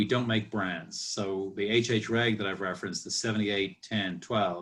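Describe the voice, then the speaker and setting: Speaking with an Irish accent, a man keeps a moderate pace and fairly even intonation. His pitch sits fairly low. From Ireland. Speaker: master distiller. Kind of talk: casual chat. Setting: video call.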